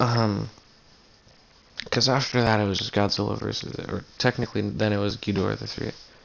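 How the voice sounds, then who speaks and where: A man speaks quietly at a moderate pace, his fairly low voice held to a fairly even intonation. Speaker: video reviewer. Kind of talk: casual movie review. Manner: hesitant, filler-heavy.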